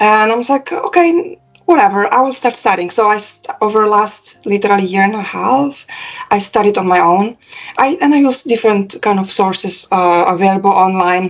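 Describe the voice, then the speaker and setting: A woman with a Polish accent speaks fairly quickly in a fairly high pitch, her intonation lively. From Poland. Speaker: cybersecurity professional. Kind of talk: interview testimonial. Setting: call. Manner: halting, many fillers.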